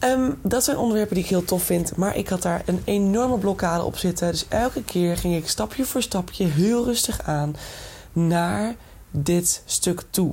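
Somewhat breathy and at a fairly slow pace, a woman speaks at a medium pitch with a dark, mellow tone, lively intonation and very even loudness. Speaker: podcast host, entrepreneurship and personal development coach. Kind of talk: solo monologue podcast. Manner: casual, enthusiastic, mixes in English phrases.

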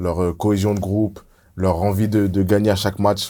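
A man speaks in a fairly low pitch. His intonation is monotone and flat. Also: very clean recording, silent background. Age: 30s. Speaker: former professional footballer. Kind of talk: casual chat.

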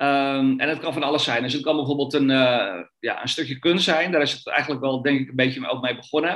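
This man has a fairly high pitch. He speaks at a moderate pace. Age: 40s. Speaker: trader. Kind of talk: interview. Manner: halting, many fillers.

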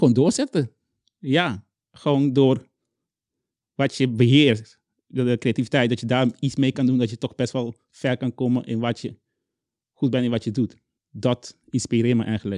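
A man with a Caribbean Dutch accent speaks at medium pitch with fairly even intonation and long, frequent pauses. The sound is dry and close with no echo, over a quiet background. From Curaçao. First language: Papiamentu (speaking Dutch). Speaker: children's book author. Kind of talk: interview. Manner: halting.

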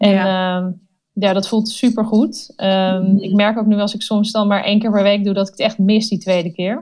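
A woman of medium pitch speaks at a moderate pace in a monotone, flat intonation, in a very clean recording with a silent background. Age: 30s. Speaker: agency founder. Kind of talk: interview.

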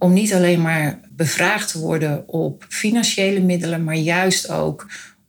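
A woman talks at a moderate pace and a fairly low pitch while noticeable background noise carries on. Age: 50s. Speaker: foundation coordinator. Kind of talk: interview.

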